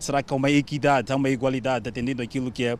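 A man rattles off his words at a very fast pace in fairly even intonation. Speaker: TV reporter. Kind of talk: field report.

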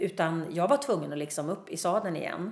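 A woman with a fairly low pitch and lively intonation speaks at a moderate pace, with audible room echo. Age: 50s. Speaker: singer and public speaker. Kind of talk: interview. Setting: backstage dressing room.

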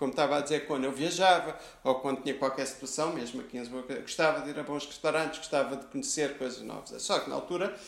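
This man speaks at a very fast pace with hardly any pauses, his pitch fairly high and his intonation fairly even. Audible room echo surrounds his voice. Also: big swings in loudness. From Lisbon, Portugal (teen years in Rio de Janeiro). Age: 50s. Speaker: food critic. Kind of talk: interview. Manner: halting, many repetitions.

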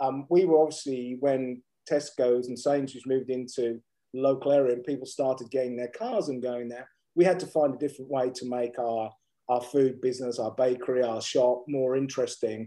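Here a man has a dark, mellow tone and medium pitch. He talks at a fairly quick pace with fairly even intonation. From England, rural Suffolk. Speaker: business executive and coach. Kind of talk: interview. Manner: hesitant, many fillers and repetitions.

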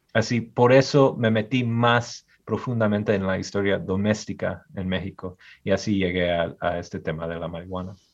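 This is a normal speaking voice at a moderate pace. Pitch varies in an ordinary way against a quiet background. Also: man, fairly low pitch for a man. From US Midwest, Michigan. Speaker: historian. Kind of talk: interview. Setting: video call.

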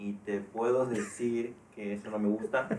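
Here a man is speaking. His pace is very slow. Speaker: podcast co-host. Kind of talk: casual chat.

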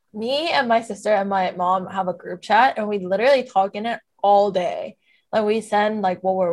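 A normal speaking voice with ordinary pitch variation. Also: woman. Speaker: podcast co-host. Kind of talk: casual chat.

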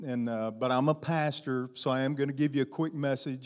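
On a very clean recording with a silent background, a man talks at a moderate pace in a medium pitch. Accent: Southern US. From US South, Arkansas. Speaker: guest pastor. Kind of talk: sermon. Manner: animated.

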